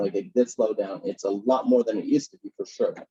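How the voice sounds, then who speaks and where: A man speaks at a very fast pace. The sound is dry and close, with no echo. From Iraq (Baghdad), raised in US East Coast. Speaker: guest speaker. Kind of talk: Q&A answers.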